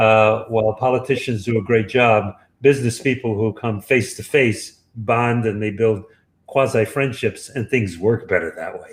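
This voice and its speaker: With a New York accent, a man at a medium pitch speaks at a moderate pace in a somewhat breathy voice, his intonation fairly even but his loudness swinging widely. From Brooklyn, New York. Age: 70s. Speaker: author. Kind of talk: interview.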